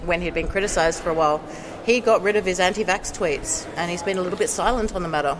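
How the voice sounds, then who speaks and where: Against noticeable background noise, a woman with an Australian accent speaks at a fairly low pitch with fairly even intonation. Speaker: skeptic activist. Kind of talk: casual chat. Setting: conference.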